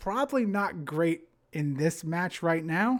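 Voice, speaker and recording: The speaker is a man with a New Jersey accent. His recording is very clean, with a silent background. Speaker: game commentator. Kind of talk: live commentary. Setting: live stream. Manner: casual, filler-heavy.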